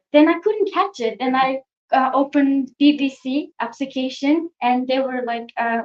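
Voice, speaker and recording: A woman with a non-native accent speaks in a high voice at a moderate pace. Her pitch varies in an ordinary way. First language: not English. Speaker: youth climate activist. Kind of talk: panel discussion.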